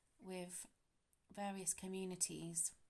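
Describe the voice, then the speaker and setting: A woman with a British accent, medium in pitch. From Britain. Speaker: YouTuber. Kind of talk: casual talk to camera. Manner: hesitant.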